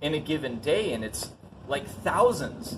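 A man keeps a moderate speed as he talks, noticeable background noise audible behind him. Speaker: online business coach. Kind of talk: instructional vlog talk. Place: open country.

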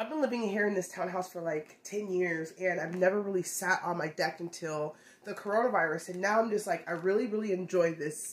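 Woman's voice, ordinary pitch variation, moderate pace. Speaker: lifestyle vlogger. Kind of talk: casual vlog chat. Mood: cheerful, chatty. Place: kitchen.

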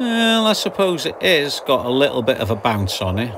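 Light background noise sits under a man's speech. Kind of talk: casual vlog commentary. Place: boat. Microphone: phone near.

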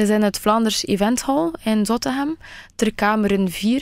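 A woman talks at a fairly slow pace. The background is quiet and the sound is dry with no echo. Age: 20s. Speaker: beauty pageant finalist; radio guest. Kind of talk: radio interview. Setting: radio studio. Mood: friendly, upbeat. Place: studio.

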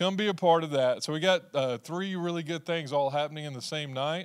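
In a quiet setting, a man talks at a fairly quick pace with fairly even intonation. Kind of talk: church announcements. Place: church. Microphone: handheld.

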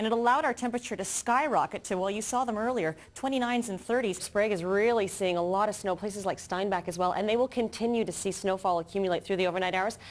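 A woman at a very fast pace with hardly any pauses, medium pitch and ordinary pitch variation. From Canada. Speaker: TV news reporter, weather anchor and host. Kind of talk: TV weather forecast. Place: studio. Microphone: lapel.

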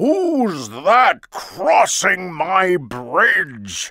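The voice is a put-on character voice. Its pitch sits in the middle. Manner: menacing.

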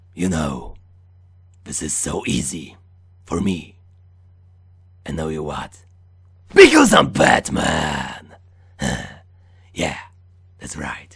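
A man's put-on character voice, very deep and low and raspy, at a very slow pace with long, frequent pauses.

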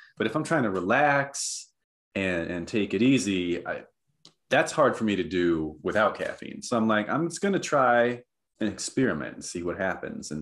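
Speaking at a moderate pace with an American accent, a man makes very wide pitch swings. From northern Minnesota. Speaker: author and psychologist; podcast guest. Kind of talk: casual interview chat. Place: home room.

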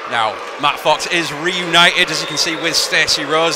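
A man is heard over noticeable background noise. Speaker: wrestling commentator. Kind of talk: live sports commentary, play-by-play of a wrestling match. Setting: arena with live crowd, commentary desk.

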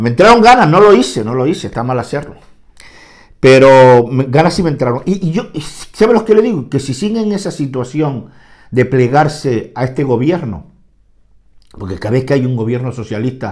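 A man with a medium pitch speaks at a moderate pace. His tone is animated and his intonation lively. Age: 60s. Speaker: political commentator. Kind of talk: political monologue.

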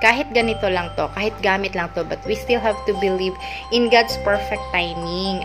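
A woman speaks with clear music in the background. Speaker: home vlogger. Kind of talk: casual vlog chat. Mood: excited, happy. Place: home room. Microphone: phone near.

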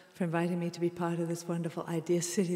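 Over audible room echo, a woman speaks at a very fast pace in a fairly low, monotone, flat voice. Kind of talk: stage introduction to audience. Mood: warm, smiling. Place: hall.

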